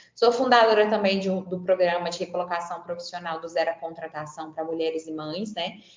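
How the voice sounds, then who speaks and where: The woman's pitch is medium. Her pitch variation is ordinary. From Franca, interior of São Paulo state, Brazil. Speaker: psychologist and career coach. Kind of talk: webinar talk. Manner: conversational, frequent filler words.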